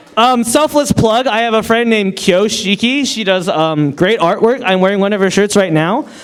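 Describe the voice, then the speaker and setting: Intonation here is lively and the pace moderate. Noticeable background noise runs underneath. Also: man, high pitch for a man. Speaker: fan convention panelist. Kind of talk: convention panel giveaway. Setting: stage with audience.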